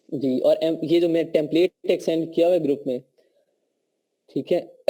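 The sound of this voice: A man talks at a moderate pace in a fairly high pitch. His tone is dark and mellow.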